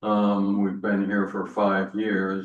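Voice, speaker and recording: A man with an American accent and fairly low pitch, at a very slow pace, with audible room echo. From Rhode Island, US. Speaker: retired social work professor, trustee applicant. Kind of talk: interview.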